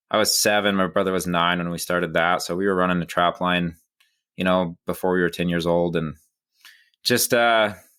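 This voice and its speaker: A man's very deep, low voice with a bright, sharp tone, fairly even intonation and a fairly quick pace, on a very clean recording with a silent background. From central Wyoming, US. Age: 20s. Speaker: wilderness guide and carpenter. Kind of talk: podcast interview. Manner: casual, with many fillers.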